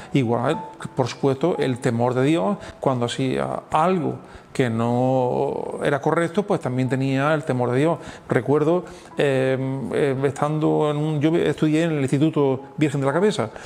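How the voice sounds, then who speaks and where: A man talks fairly slowly with a fairly high pitch. There is noticeable background noise. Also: ordinary pitch variation. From Andalusia, Spain (Andújar, Jaén). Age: 60s. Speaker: pastor. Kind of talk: testimony interview. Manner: halting, many fillers and repetitions.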